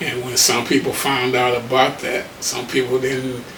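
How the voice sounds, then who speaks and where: Over noticeable background noise and audible room echo, a man with an American accent speaks at a fairly slow pace and a medium pitch. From Detroit, Michigan. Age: 70s. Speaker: HIV advocate. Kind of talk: interview testimony.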